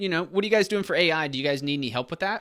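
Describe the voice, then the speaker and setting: The speaker has a Southern accent. The recording is very clean with a silent background. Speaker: online business YouTuber. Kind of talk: casual tutorial. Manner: casual, filler-heavy.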